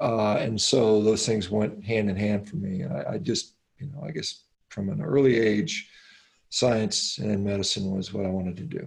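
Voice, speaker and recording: Somewhat breathy and at a moderate pace, the voice carries lively intonation in an American accent. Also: man, fairly low pitch for a man. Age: 50s. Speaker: physician and athlete. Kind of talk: interview.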